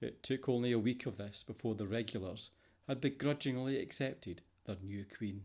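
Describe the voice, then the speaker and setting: Heard on a very clean recording with a silent background, the speaker uses a Scottish accent at a moderate pace with ordinary pitch variation. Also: man. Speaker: voice over artist. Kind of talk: fiction audiobook narration.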